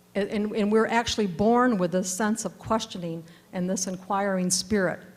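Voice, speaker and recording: Somewhat breathy, a woman speaks in a medium pitch at a moderate pace. Her intonation stays fairly even. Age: 60s. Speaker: panelist. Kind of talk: panel discussion talk. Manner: halting.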